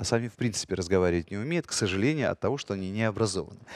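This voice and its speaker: A man talks at a very fast pace with lively intonation. The sound is dry with no echo, over a quiet background. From Ukraine, Kyiv. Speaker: radio host and actor; radio host, actor. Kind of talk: casual chat. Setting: studio. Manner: animated. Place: studio. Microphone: headset.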